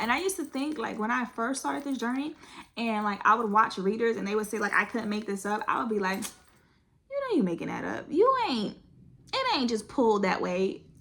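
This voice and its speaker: Animated in tone, a woman speaks at a fairly high pitch with very wide pitch swings. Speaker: tarot card reader. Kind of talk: tarot reading.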